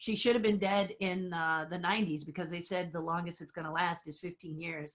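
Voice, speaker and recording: A woman's plain, everyday voice, fairly low in pitch, at a moderate pace with fairly even intonation. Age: 60s. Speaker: theme park designer and puppeteer. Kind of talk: interview.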